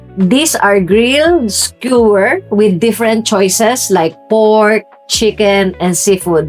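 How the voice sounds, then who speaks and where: Music plays in the background as a woman speaks at medium pitch and a very slow pace, her intonation lively. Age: 50s. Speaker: food and lifestyle vlogger living in the Philippines. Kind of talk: casual talk to camera, restaurant review. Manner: conversational, friendly, lightly humorous.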